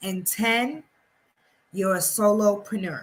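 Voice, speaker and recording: A woman with an American accent speaks at a very slow pace. Her medium-pitched voice has a bright, sharp tone and ordinary pitch variation. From New York City (Harlem). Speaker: publishing coach. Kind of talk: tutorial.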